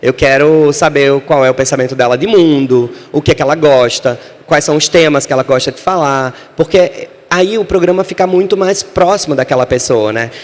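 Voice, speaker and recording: A man's animated, fairly high voice at a moderate pace, with ordinary pitch variation and noticeable background noise. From Brazil, Natal (Northeast). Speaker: screenwriter and author. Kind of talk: panel talk.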